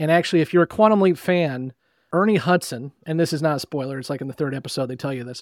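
In a dry, close sound with no echo and a very clean recording over a silent background, a man with an unremarkable speaking voice talks at a fairly high pitch with ordinary pitch variation. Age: 30s. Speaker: podcast host guest. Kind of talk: casual chat.

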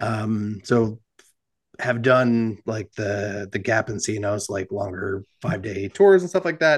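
A man with a plain, everyday voice and an American accent, fairly low in pitch, ordinary pitch variation, at a fairly slow pace. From New Jersey. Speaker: cycling apparel founder and ride organizer. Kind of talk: casual interview chat.

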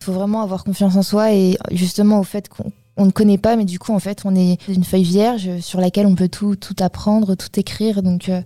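A woman speaks in a dark, mellow, somewhat breathy tone with monotone, flat intonation and hardly any pauses. The recording is very clean, with a silent background. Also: medium pitch for a woman, moderate pace. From Paris region, France. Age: 20s. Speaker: work-study student in IT. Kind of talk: interview. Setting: studio.

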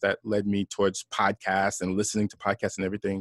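The background is quiet and the sound dry and close, with no echo. A man talks at a very fast pace. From New York (Brooklyn, Long Island), Haitian parents. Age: 40s. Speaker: entrepreneur, former corporate employee. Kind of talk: interview conversation.

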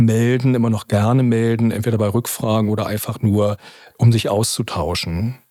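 A man speaks in a medium pitch with a dark, mellow tone and fairly even intonation. His pace is moderate, and the recording is very clean with a silent background. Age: 50s. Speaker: probation officer. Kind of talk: interview.

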